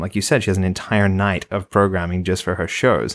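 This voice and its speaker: In a very clean recording with a silent background, a man speaks at a fairly low pitch with vocal fry. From Australia. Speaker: podcast co-host and TV writer. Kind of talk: casual chat.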